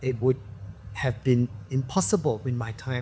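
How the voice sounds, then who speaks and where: There is noticeable background noise as a man talks at a fairly slow pace. His pitch sits in the medium range. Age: 60s. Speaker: actor. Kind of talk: casual chat.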